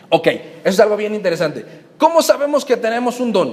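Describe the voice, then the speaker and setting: Noticeable background noise sits behind this man. His voice is high in pitch, with very wide pitch swings. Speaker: pastor. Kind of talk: teaching talk to new members.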